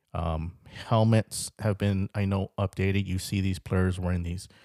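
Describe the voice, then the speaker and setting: Speaking at a fairly slow pace, a man with a very deep, low pitch and a dark, mellow tone keeps a monotone, flat intonation on a very clean recording with a silent background. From California. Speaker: podcast host. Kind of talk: solo monologue podcast. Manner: hesitant, many fillers.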